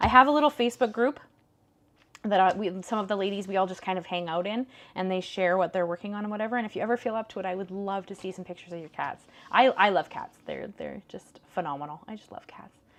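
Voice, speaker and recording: Speaking at a very fast pace with a western Canadian accent, a woman uses medium pitch and ordinary pitch variation, with big swings in loudness. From Canada, northern British Columbia. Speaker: paper crafting livestream host. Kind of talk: live crafting tutorial with chat. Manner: casual, chatty.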